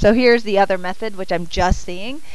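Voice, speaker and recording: A woman mumbles over noticeable background noise. Room echo is audible. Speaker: math teacher. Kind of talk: classroom lecture. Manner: halting, thinking aloud; mumbling.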